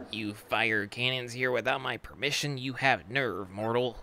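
Using a put-on character voice, a man speaks at a medium pitch. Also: moderate pace. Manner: menacing, imperious.

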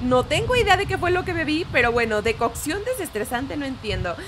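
A woman's raised, projected voice with very wide pitch swings amid noticeable background noise. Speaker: gaming YouTuber. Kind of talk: gameplay commentary. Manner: loud; animated.

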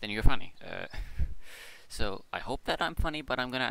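A man mumbles at a fairly quick pace, his tone bright and sharp and his intonation lively. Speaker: gaming YouTuber and streamer. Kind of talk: casual rambling update talk. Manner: mumbling.

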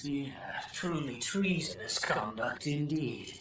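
A man's put-on character voice, fairly high-pitched and fairly slow, over clear background noise. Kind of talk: comic overacting. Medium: fan dub. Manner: excitable, theatrical.

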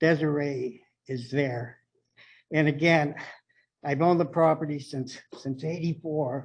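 Somewhat breathy and fairly high in pitch, a man speaks at a fairly slow pace with fairly even intonation and long, frequent pauses. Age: 70s. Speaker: property owner speaking at public comment. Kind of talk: public comment at city meeting. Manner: halting.

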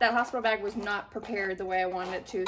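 Loud background noise surrounds a woman whose pitch varies in an ordinary way. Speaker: mom vlogger. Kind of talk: casual haul vlog chat. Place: home room. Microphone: camera far.

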